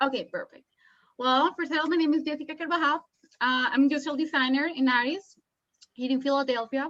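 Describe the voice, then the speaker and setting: A woman talks at a very fast pace in a Colombian accent. Her voice is high-pitched, with fairly even intonation. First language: Spanish. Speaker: illustrator and industrial designer. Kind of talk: artist talk. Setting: video call. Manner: halting, many fillers.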